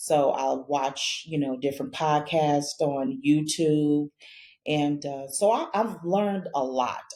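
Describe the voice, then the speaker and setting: A woman speaks at a very slow pace in a very deep, low pitch with ordinary pitch variation and a dark, mellow tone. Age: 60s. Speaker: host's mother, single woman sharing dating experience. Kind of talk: casual chat.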